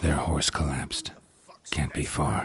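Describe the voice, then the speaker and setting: In a cartoonish character voice, a man talks at a moderate pace. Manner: terse, flat, economical.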